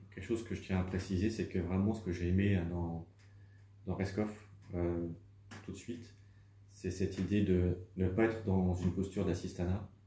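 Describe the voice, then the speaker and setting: A man with a very deep, low, dark and mellow voice speaks in a monotone, flat, somewhat breathy delivery at a moderate pace, with long, frequent pauses and audible room echo. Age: 40s. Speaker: humanitarian volunteer. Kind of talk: testimony interview. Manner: hesitant, many fillers.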